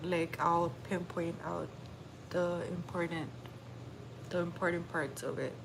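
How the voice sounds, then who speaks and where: A woman at a fairly low pitch, speaking at a fairly slow pace with audible room echo. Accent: American. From Texas. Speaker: livestreamer. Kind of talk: casual livestream chat.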